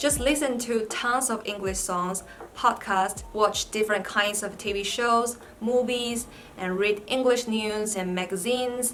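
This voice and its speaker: With music in the background, a woman speaks in a Chinese accent, and audible room echo is present. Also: fairly high pitch for a woman, fairly even intonation, fairly slow pace. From China. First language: Mandarin Chinese. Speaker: vlogger, PhD student. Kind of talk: vlog tutorial.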